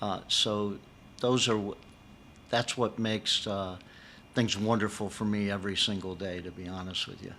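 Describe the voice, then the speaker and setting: At a moderate pace, a man with a fairly low pitch speaks in a monotone, flat intonation, with long, frequent pauses and big swings in loudness. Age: 70s. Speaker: chiropractor and university education consultant. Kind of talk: interview. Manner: hesitant fillers, repeats words.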